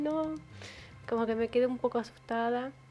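The woman has a high pitch and fairly even intonation. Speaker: podcast co-host. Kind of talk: casual chat.

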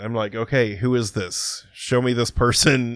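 With medium pitch and ordinary pitch variation, a man talks at a moderate pace in a normal speaking voice. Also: very clean recording, silent background. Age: 40s. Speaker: podcast host. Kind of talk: casual chat.

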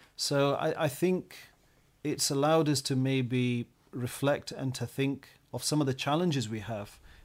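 In a West Yorkshire accent, a man speaks with a fairly high pitch and fairly even intonation. His fairly slow delivery sits on a very clean recording with a silent background. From Bradford, northern England. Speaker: science teacher. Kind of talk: podcast discussion.

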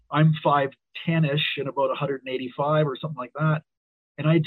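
A man is speaking. He talks with a Canadian accent. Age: 60s. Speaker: wrestling referee. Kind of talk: interview. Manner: halting.

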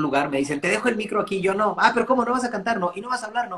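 A man with a Mexican accent speaks with ordinary pitch variation. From Mexico. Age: 30s. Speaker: DJ and music producer. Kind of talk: casual interview chat.

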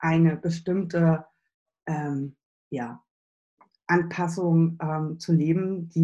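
A woman speaks with a dark, mellow tone, a fairly low pitch, somewhat breathy delivery and fairly even intonation. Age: 40s. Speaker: business and spiritual coach. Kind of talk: interview.

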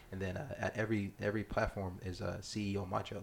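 Monotone, flat intonation in a somewhat breathy voice at a moderate pace. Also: man. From South Sudan, raised in US. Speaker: entrepreneur. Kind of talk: casual chat.

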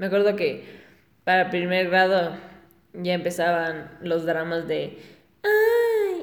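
At a very slow pace with long, frequent pauses, a woman speaks in a flat monotone at a fairly low pitch, with audible room echo and noticeable background noise. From Ecuador (Guayaquil). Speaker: podcaster. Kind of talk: casual monologue. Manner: halting, with frequent repetitions.

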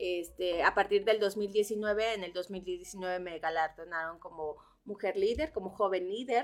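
A woman in a central Mexican accent at a fairly slow pace, with big swings in loudness. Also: medium pitch for a woman, ordinary pitch variation. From central Mexico (Cuernavaca, Morelos). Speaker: human communication therapist, activist, institute founder. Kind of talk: radio interview, life story. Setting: radio studio.

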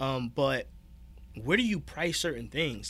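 On a very clean recording with a silent background, a man with an American accent speaks at a moderate pace in a bright, sharp tone with vocal fry. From Newark, New Jersey. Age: 30s. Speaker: vintage store owner. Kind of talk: casual interview.

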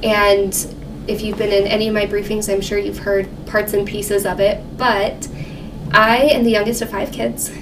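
In a room with audible echo and noticeable background noise, a woman talks at medium pitch and a moderate pace with monotone, flat intonation. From New Mexico. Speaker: financial counselor. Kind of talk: casual interview.

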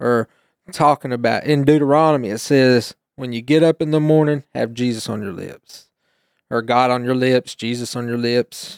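An unremarkable speaking voice with an American accent and fairly even intonation moves at a moderate pace, recorded dry and close with no echo. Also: man, medium pitch for a man. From East Tennessee, US. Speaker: guest, youth teacher and churchgoer. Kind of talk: testimony, casual conversation.

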